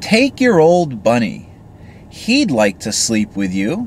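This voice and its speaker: A put-on character voice at a low-to-middle pitch moves at a fairly slow pace against clear background noise. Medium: read story. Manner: brisk, matter-of-fact.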